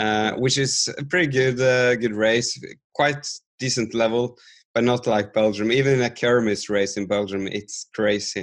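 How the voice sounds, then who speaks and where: Speaking with a Norwegian accent at a moderate pace, the voice keeps fairly even intonation. The background is quiet. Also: man, medium pitch for a man. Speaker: podcast host. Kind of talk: interview.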